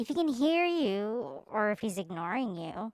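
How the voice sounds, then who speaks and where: A put-on character voice, female-sounding and fairly high-pitched, leaps through very wide pitch swings at a moderate pace. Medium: audio drama. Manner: chipper, naive.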